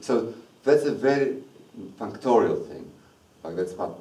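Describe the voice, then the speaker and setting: A man at a moderate pace, with audible room echo. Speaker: mathematics lecturer. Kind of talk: lecture.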